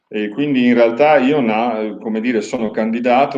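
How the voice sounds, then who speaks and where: An ordinary speaking voice moves at a moderate pace. Its pitch varies in an ordinary way. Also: man. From Pordenone, Friuli, northeast Italy. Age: 60s. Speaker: mayoral candidate. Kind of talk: interview. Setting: live-streamed TV interview. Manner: measured, formal.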